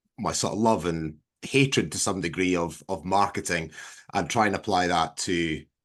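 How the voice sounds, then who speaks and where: A man with a Scottish accent and a very deep, low pitch, showing ordinary pitch variation at a moderate pace over a quiet background. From southwest Scotland. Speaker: farmer and agricultural marketer. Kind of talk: casual interview on a video call. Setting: video call.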